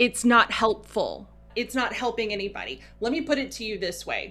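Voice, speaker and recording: A woman's fairly high voice, bright and sharp in tone, with fairly even intonation. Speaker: podcast co-host. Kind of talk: casual chat, rant. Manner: louder than normal, passionate.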